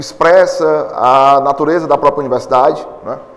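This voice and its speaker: There is noticeable background noise and audible room echo. A man speaks at a fairly high pitch. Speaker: philosophy professor. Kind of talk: lecture. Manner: fast; loud.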